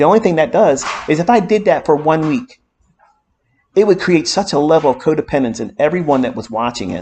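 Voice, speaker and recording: This man has a plain, everyday voice. His intonation is lively and his pace fairly quick. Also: fairly high pitch for a man. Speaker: trading mentor. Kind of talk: lecture.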